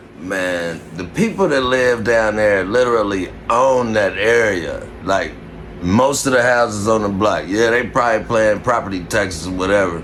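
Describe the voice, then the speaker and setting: A man with an American accent, fairly low pitch and ordinary pitch variation, moderate pace and very even loudness, amid noticeable background noise and audible room echo. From Indianapolis, Indiana (west side). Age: 40s. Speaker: vlogger reacting to news clips. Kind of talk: casual reaction commentary. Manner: animated.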